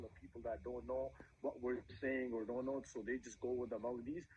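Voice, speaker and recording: A man speaks at a fairly quick pace in a medium pitch. His voice is somewhat breathy. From Punjab. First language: Punjabi. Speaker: musician. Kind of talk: interview.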